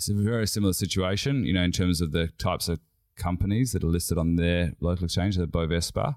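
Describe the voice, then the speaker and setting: Talking at a very fast pace, a man with an Australian accent has a very deep, low pitch with ordinary pitch variation and very even loudness. The recording is very clean, with a silent background. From Western Australia (Perth). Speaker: company CEO. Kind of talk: interview.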